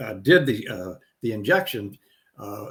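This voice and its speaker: A man's somewhat breathy voice. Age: 70s. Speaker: musician and wellness business partner. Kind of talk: casual chat.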